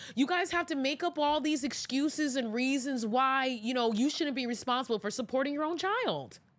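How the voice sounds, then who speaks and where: The speaker is a woman, and her pace is moderate. Nothing much can be heard behind her. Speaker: podcast host. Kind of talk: opinion commentary. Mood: exasperated, sarcastic. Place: studio. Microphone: studio mic.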